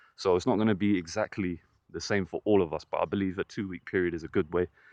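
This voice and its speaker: The speech comes at a fairly quick pace. The sound is dry and close with no echo, over a quiet background. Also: man. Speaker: men's self-improvement vlogger. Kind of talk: casual vlog monologue. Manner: casual, with frequent fillers.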